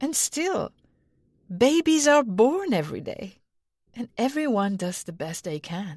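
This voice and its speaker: Her fairly high voice makes very wide pitch swings and big swings in loudness as this woman talks at a fairly slow pace with long, frequent pauses, in a dry, close sound with no echo. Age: 40s. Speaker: podcast host. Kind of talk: personal storytelling.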